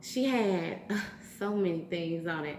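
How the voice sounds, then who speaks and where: With a Southern US accent, a woman talks at medium pitch with ordinary pitch variation, amid noticeable background noise and audible room echo. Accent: Southern US, country. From US South. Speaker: YouTuber. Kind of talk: casual vlog, eating challenge. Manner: loud; animated.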